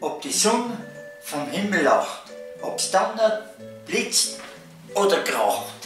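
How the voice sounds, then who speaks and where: A man with a Tyrolean accent at a very slow pace, audible room echo, and faint music behind him. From Tyrol, Austria. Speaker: amateur poetry reciter. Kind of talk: dialect poetry reading. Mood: humorous, gently theatrical. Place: home room. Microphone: camera far.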